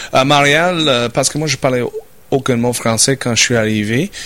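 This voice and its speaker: Bright and sharp in tone, a man with a medium pitch and an English accent speaks with fairly even intonation. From Saskatchewan, Canada (rural farm). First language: English (speaking French). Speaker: business owner. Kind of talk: interview. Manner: halting, repeats words.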